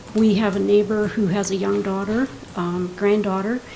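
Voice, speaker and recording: A woman's monotone, flat delivery at a moderate pace, with noticeable background noise and audible room echo. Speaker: resident speaking at public comment. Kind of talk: public comment at council meeting. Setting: council meeting with microphone.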